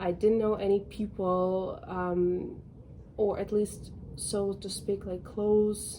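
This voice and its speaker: A woman's dark, mellow tone in a Russian accent, very slow and with monotone, flat intonation. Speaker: lifestyle vlogger. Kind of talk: casual vlog monologue. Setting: balcony at home. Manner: conversational, many fillers.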